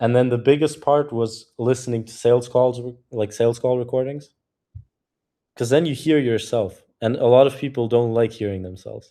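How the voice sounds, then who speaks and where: With a German accent, a man speaks at a moderate pace in a dark, mellow tone, his medium pitch held in fairly even intonation. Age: 20s. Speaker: cold email community co-host. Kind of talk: live community video call, casual.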